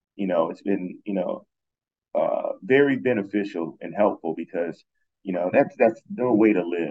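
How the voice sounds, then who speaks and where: This is a man speaking. He has an American accent. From Ohio, US. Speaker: cybersecurity consultant. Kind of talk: interview. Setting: remote call from abroad. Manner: halting with many fillers.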